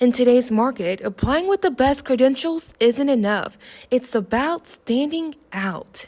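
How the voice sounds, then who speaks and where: With lively intonation and a high pitch, a woman talks at a fairly slow pace. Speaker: student news anchor and reporter. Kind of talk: TV news reporter voiceover.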